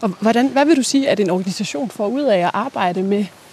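Noticeable background noise accompanies a woman of medium pitch. She talks at a moderate pace with lively intonation. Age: 30s. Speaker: journalist interviewing the host. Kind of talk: interview. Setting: outdoors, walking.

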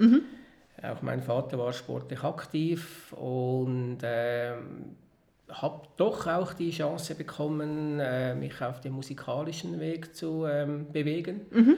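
Speaking very slowly, a man talks with a Swiss accent. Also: fairly high pitch for a man, ordinary pitch variation. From Switzerland, Lake Zurich area. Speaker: entrepreneur. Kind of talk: interview.

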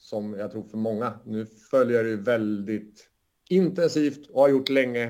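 A man's normal speaking voice, medium in pitch with ordinary pitch variation, at a fairly slow pace. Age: 40s. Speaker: football analytics company co-founder. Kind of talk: casual chat.

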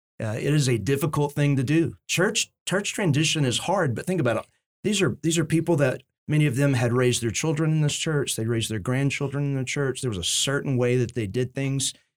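On a very clean recording with a silent background, a man with an ordinary speaking voice speaks at a fairly quick pace and fairly high pitch with ordinary pitch variation. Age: 40s. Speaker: pastor. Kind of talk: casual chat. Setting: studio.

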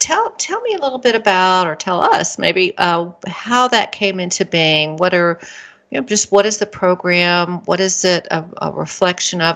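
A woman's plain, everyday voice at a medium pitch and moderate pace, with ordinary pitch variation. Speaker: podcast host. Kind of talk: scripted intro then interview chat.

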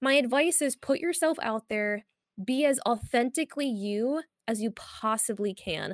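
Very clean and silent behind her, with a dry, close sound and no echo, a woman speaks at a moderate pace in a high voice with lively intonation. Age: 20s. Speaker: fighting game streamer and commentator. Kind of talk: casual interview.

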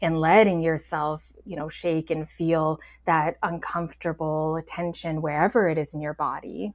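A woman with a plain, everyday voice and fairly low pitch speaks at a fairly slow pace in a very clean recording with a silent background. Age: 40s. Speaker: energy healer and meditation guide. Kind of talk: casual chat.

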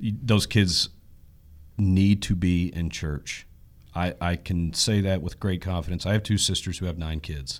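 Over a very clean recording with a silent background, a man with an American accent speaks fairly slowly at a very deep, low pitch with fairly even intonation. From East Texas. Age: 30s. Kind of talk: interview.

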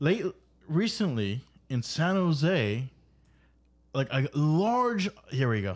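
A man with a fairly high voice speaks at a very slow pace, with long, frequent pauses and very wide pitch swings. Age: 30s. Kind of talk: casual chat. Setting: studio.

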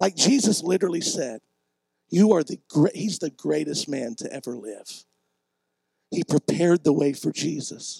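With lively intonation, a man speaks in a dark, mellow tone at fairly high pitch with vocal fry, in a dry, close sound with no echo. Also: moderate pace. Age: 40s. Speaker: pastor. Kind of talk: sermon.

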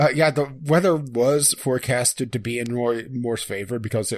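With ordinary pitch variation, a man at a medium pitch talks in a plain, everyday voice. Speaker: podcast co-host. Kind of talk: casual chat. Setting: Skype call.

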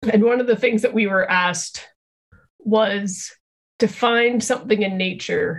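A woman talks at a fairly slow pace in a somewhat breathy voice. Her pitch is fairly high, with fairly even intonation. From Canada, Calgary. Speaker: social work lecturer and researcher. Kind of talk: interview.

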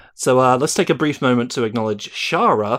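Recorded very cleanly against a silent background, the speaker talks at a fairly quick pace with a British accent. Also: man. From Britain. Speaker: podcast host. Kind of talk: casual chat.

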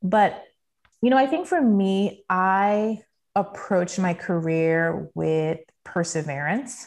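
A woman with an American accent speaks very slowly at a medium pitch with lively intonation, in a very clean recording with a silent background. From US Virgin Islands (Saint Thomas). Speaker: professional sharing career story. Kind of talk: interview conversation. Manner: casual with fillers.

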